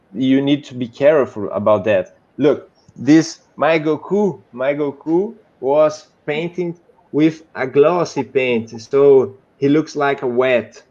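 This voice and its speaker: A man speaks very slowly with a Brazilian Portuguese accent. His voice is fairly high in pitch, with a dark, mellow tone. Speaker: 3D modeler. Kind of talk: casual chat. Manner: halting.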